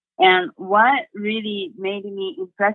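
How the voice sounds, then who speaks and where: With a Japanese accent, a woman speaks in a fairly even intonation. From Japan, Sendai. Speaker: motivational speaker. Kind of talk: interview.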